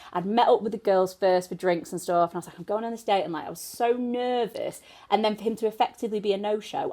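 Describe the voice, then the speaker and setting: The speech races along at a very fast pace with hardly any pauses, in a northern English accent. Its tone is dark and mellow, the intonation lively, and the loudness swings widely. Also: woman. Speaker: podcast co-host. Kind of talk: casual chat. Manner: animated.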